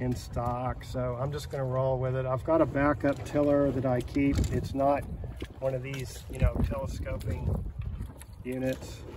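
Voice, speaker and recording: A man's voice at a fairly slow pace, dry with no echo, over noticeable background noise. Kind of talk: casual vlog chat. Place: waterside. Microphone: phone near.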